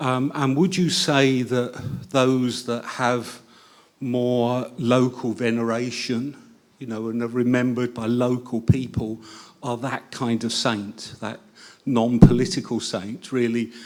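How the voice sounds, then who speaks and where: In an English accent, a man at medium pitch speaks at a very slow pace with fairly even intonation and big swings in loudness. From England. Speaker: audience member asking questions. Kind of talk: Q&A question at a public talk.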